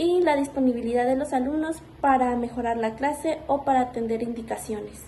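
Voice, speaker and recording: This woman speaks at a moderate pace. Her intonation stays fairly even. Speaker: student teacher. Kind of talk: spoken report.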